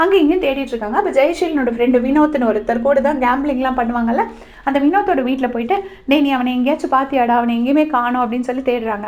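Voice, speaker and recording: There is noticeable background noise as a woman talks in a high pitch. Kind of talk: web series episode review recap. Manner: casual, conversational.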